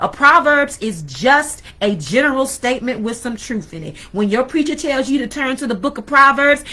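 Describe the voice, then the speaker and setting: In a raised, projected voice, a woman with a high pitch and lively intonation talks at a moderate pace. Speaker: spiritual teacher, video blogger. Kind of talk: sermon-style talk. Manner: halting.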